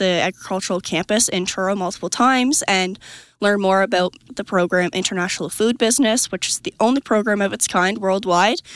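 An ordinary speaking voice from a woman at medium pitch and a fairly quick pace, dry and close with no echo, on a very clean recording with a silent background. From Nova Scotia, Canada. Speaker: agricultural education manager. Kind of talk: interview. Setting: conference.

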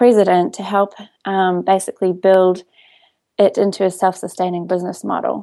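Against a quiet background, a woman with a New Zealand accent speaks at a moderate pace in a dark, mellow tone of medium pitch. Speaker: coupon website CEO. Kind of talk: interview.

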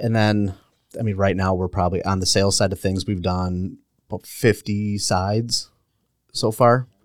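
In an American accent, a man with a normal speaking voice and a fairly low pitch talks at a moderate pace on a very clean recording with a silent background. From Milwaukee area, Wisconsin. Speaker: realtor. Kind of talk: casual chat. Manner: laughs often.

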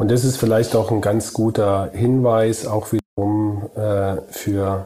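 Very slowly and in a flat monotone, a man speaks at a fairly low pitch. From Germany, Kurpfalz. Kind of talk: casual chat.

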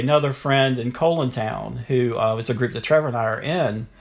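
A man with a North Carolina accent speaks at a medium pitch. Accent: North Carolina Southern. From US South, Durham, North Carolina. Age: 50s. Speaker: pre-K teacher and cancer survivor. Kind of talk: interview, personal testimony.

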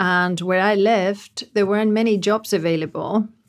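A woman's flat, monotone delivery with a non-native accent. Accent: foreign-accented English. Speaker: diversity advocate. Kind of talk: casual panel discussion.

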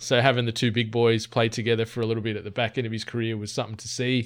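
A man speaks with an Australian accent in a flat monotone. The recording is very clean, with a silent background. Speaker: podcast co-host. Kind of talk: casual chat.

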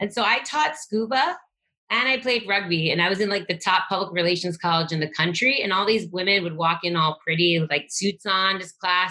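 A woman with an unremarkable speaking voice talks at a fairly quick pace, her medium pitch showing ordinary variation. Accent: American. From New York. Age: 40s. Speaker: construction technology executive. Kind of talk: podcast interview.

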